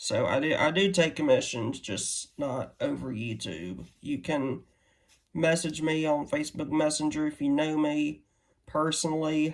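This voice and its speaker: The speaker has a Southern US accent and a fairly slow pace. The recording is very clean, with a silent background. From Louisiana, US South. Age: 20s. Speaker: artist, YouTuber. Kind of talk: casual unboxing vlog. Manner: hesitant, many fillers.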